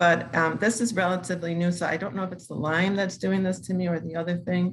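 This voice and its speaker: The speaker talks at a very fast pace with fairly even intonation. The voice is somewhat breathy. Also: woman, fairly low pitch for a woman. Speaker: participant with Parkinson's asking a question. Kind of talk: question in online class Q&A. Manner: slurred speech at times; halting.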